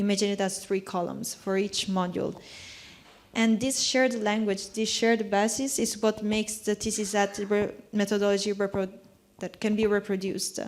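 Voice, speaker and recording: This woman talks at a moderate pace in a non-native accent. Her intonation is monotone and flat. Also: medium pitch for a woman. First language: not English. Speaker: panel contributor. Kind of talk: panel discussion. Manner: halting, with false starts.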